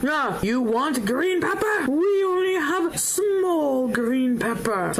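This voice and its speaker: A put-on character voice at a very slow pace over clear background noise. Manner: defensive, insecure.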